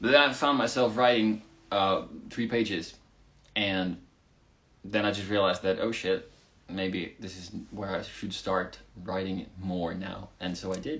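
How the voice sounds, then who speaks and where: Speaking at a fairly slow pace with long, frequent pauses, a man with a Swedish accent has a fairly low pitch. His loudness swings widely, while his pitch varies in an ordinary way. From Finland. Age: 20s. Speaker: rock band singer. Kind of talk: live stream Q&A. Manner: casual, animated.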